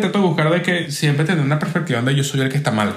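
Against noticeable background noise, a man talks at a fairly high pitch. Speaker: podcast host. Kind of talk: casual chat.

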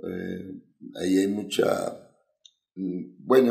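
Room echo can be clearly heard. It comes from a man talking. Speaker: singer. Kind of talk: casual chat. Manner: halting.

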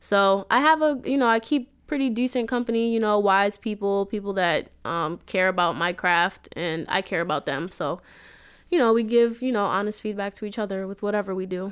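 A woman with an American accent and a normal speaking voice talks at a moderate pace and medium pitch with ordinary pitch variation, in a very clean recording with a silent background. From Queens, New York City. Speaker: singer and rapper. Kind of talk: casual interview.

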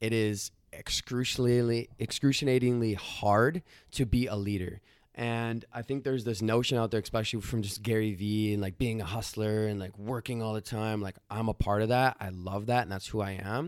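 A man's unremarkable speaking voice, medium in pitch, at a moderate pace with fairly even intonation. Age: 20s. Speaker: founder and CEO of a digital media agency. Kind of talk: casual interview.

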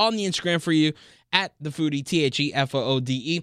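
With an American accent, a man speaks in a normal speaking voice at a fairly high pitch with ordinary pitch variation, in a dry, close sound with no echo. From Miami, Florida. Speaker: food podcast host. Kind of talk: podcast news segment and casual interview.

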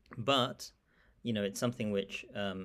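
A man with a British accent at a moderate pace, ordinary pitch variation, and a very clean recording over a silent background. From England. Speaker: academic, Islamic studies scholar. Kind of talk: interview.

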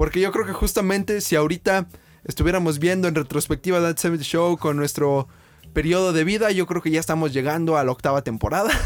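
A man is speaking. His pitch is high. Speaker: podcast co-host. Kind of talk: casual chat. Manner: animated.

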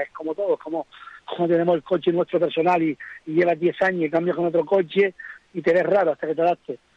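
At a fairly high pitch, a man uses a normal speaking voice with fairly even intonation. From Gran Canaria, Fataga. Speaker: rally driver. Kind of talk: interview.

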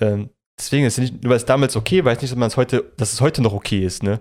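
Very fast speech comes from a man at a medium pitch with ordinary pitch variation. The recording is very clean, with a silent background. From Germany, Polish parents. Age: 20s. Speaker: podcast co-host. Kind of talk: casual chat.

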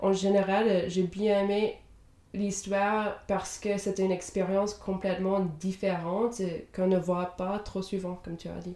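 Noticeable background noise sits behind a woman of medium pitch. She speaks fairly slowly in a flat monotone. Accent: slight English. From Indiana, US. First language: English (speaking French). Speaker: podcast co-host. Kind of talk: casual book discussion. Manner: halting, many fillers.

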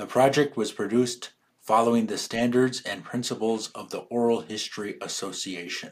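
In a plain, everyday voice, a man at a medium pitch talks at a moderate pace with fairly even intonation and big swings in loudness, on a very clean recording with a silent background. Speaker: podcast narrator. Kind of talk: scripted narration.

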